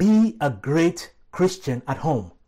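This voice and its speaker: A man's fairly high, somewhat breathy voice with a dark, mellow tone and very wide pitch swings, on a very clean recording with a silent background. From Nigeria, Lagos. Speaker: pastor. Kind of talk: sermon. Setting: church.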